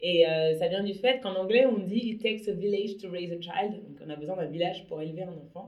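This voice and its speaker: At a moderate pace, a woman uses an ordinary speaking voice with a medium pitch and ordinary pitch variation. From Paris, France. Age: 30s. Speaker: entrepreneur. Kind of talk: interview.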